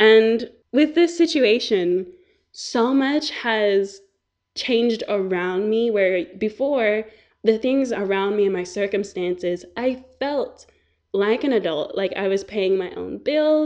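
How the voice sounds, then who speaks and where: Her voice fairly high, a woman speaks at a very slow pace with lively intonation. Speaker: podcast host. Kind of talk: casual monologue. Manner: animated.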